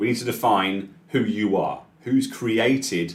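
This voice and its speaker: A man speaks with a British accent. His intonation is lively. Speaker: software trainer. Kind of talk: live tutorial webinar. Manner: fast.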